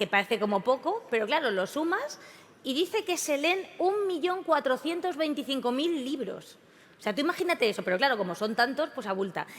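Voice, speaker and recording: The tone is animated, with very wide pitch swings at a moderate pace. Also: woman. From Spain. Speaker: event presenter. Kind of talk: comic stage introduction.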